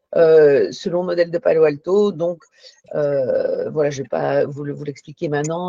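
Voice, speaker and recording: In a Belgian accent, a woman talks at a fairly low pitch, with a dry, close sound and no echo. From Belgium. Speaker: psychologist and therapy trainer. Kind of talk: panel discussion. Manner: hesitant, many fillers.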